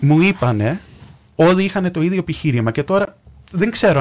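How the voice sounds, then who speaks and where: With an American accent, a man speaks at a fairly quick pace with very wide pitch swings. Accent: American accent in Greek. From US, New York. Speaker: radio contributor. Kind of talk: radio discussion.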